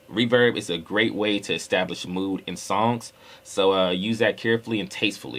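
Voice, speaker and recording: This man's fairly low pitch carries ordinary pitch variation at a moderate pace. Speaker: rapper and music producer. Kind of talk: tutorial. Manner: casual, conversational with fillers.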